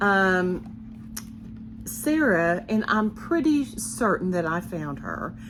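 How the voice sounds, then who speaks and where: Audible room echo surrounds a woman with an American accent. She speaks at a very slow pace with long, frequent pauses. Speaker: cross-stitch designer and video host. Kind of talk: casual vlog talk to viewers.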